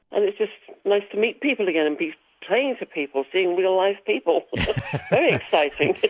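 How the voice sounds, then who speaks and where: A woman speaks at a fairly quick pace with an English accent. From England, Wiltshire. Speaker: singer and musician. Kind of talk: radio interview.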